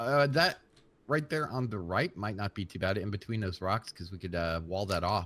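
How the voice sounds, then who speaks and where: A man speaks at a moderate pace with lively intonation. His is an unremarkable speaking voice. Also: fairly low pitch for a man. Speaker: gaming YouTuber. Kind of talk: casual gameplay commentary.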